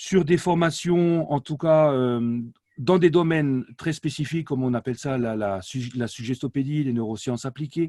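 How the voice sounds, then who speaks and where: This man talks at a moderate pace in an Alsatian accent, his fairly high pitch showing ordinary variation, with a dry, close sound and no echo. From France, Alsace. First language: Alsatian (speaking French). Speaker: language learning company director, polyglot. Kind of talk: interview. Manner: hesitant, many fillers.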